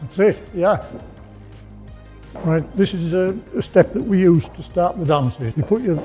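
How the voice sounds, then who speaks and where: With music in the background, a man in a northern English accent speaks at a fairly slow pace with a high pitch and lively intonation. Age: 70s. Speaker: roller skating instructor. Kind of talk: tutorial. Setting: skating studio.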